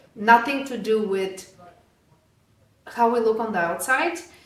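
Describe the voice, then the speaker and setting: In a Bulgarian accent, a woman speaks at a fairly slow pace with ordinary pitch variation and audible room echo. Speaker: fitness studio owner. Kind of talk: podcast interview. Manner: animated.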